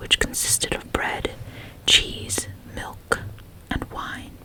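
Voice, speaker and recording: Over noticeable background noise, the speaker whispers very slowly. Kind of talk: ASMR book reading, bedtime story. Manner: whispered, soft.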